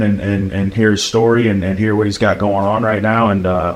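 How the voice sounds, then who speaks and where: A man's fairly low-pitched voice at a fairly quick pace, with fairly even intonation and noticeable background noise. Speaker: podcast host. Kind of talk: podcast conversation.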